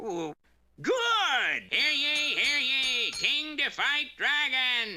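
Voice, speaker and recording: A cartoonish character voice speaks at a very slow pace with music in the background. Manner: blustery, self-important.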